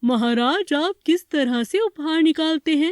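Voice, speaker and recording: A cartoonish character voice pitched high. It moves along at a moderate pace. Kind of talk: children's cartoon voice. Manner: polite, measured.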